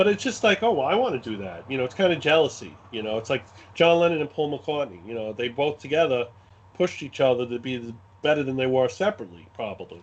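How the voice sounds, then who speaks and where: A man with a Brooklyn accent, medium pitch, very wide pitch swings and a very fast pace. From US Northeast, Brooklyn, New York. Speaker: wargame scenario designer. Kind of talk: podcast interview.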